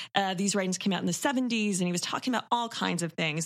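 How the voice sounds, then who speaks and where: A woman with an unremarkable speaking voice, medium pitch, ordinary pitch variation and a Canadian accent. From Toronto, Canada. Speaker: horror podcast co-host. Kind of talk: casual film discussion.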